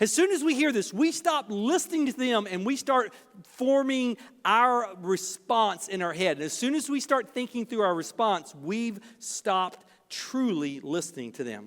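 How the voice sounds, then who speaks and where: In a very clean recording with a silent background, a man speaks at a high pitch with very wide pitch swings. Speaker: pastor. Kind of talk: sermon. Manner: fast.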